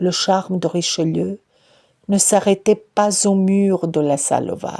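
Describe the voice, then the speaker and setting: Speaking at a very slow pace, a woman with a non-native accent has a medium pitch, a dark, mellow tone and fairly even intonation. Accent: foreign accent in French. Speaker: researcher. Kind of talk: personal literary narration.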